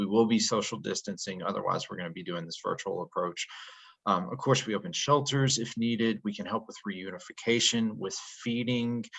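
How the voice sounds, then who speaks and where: A man with an ordinary speaking voice, medium in pitch, at a fairly quick pace, with ordinary pitch variation and big swings in loudness. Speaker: disaster relief organization representative. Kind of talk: presentation in an online meeting. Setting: video call.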